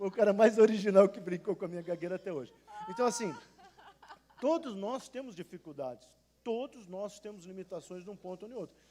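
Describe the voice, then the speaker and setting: Animated and fairly quick, a man speaks in a high pitch with ordinary pitch variation, big swings in loudness and long, frequent pauses. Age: 60s. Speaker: pastor. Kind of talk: panel discussion. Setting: church.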